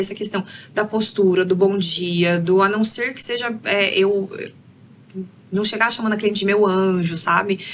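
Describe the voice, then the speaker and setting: A woman talks at a moderate pace in a medium-pitched voice. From Brazil, interior of Paraná. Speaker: career mentor. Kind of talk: podcast interview. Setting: studio.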